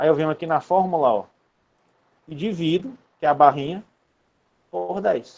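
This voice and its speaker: Delivered at a moderate pace, the speech has lively intonation broken by long, frequent pauses. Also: man, fairly high pitch for a man. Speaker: university lecturer. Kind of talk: online lecture. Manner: casual.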